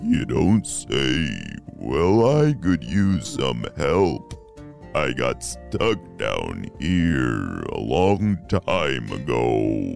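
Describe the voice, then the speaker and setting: A man in a put-on character voice, talking very slowly over clear background music. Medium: read story. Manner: gentle, friendly.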